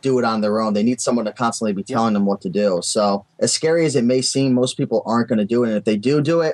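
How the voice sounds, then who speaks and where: With a New England accent, a man speaks very fast with hardly any pauses, at a medium pitch with ordinary variation and very even loudness, in a dry, close sound with no echo. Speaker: eBay seller. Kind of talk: interview answer.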